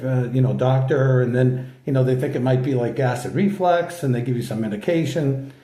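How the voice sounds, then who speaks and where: A man at a fairly high pitch and moderate pace, with audible room echo. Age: 60s. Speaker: channel host sharing health story. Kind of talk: casual personal vlog talk. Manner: halting, many fillers.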